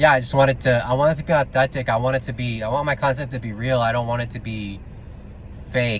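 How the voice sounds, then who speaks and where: A man with a medium-pitched, somewhat breathy voice talks very fast. His intonation stays fairly even. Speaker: vlogger. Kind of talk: casual rant vlog. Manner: stutters, many filler words; unscripted, off the cuff.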